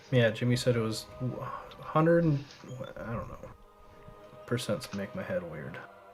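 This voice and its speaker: Someone speaks at a moderate pace with long, frequent pauses against noticeable background noise. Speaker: esports caster. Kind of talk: live commentary. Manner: loud.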